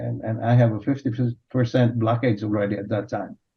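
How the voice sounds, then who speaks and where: This man talks in a flat monotone. His voice is somewhat breathy. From Philippines. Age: 60s. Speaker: physician. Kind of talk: panel discussion. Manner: halting.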